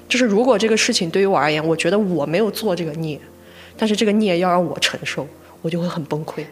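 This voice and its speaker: Someone with a slight Gansu accent speaks at a very fast pace. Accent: slight Lanzhou. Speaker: podcast co-host. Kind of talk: casual chat.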